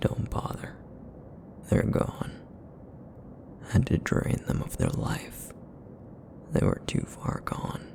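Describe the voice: A man puts on a character voice that is raspy and rumbling, with a very deep, low pitch. He talks at a fairly slow pace.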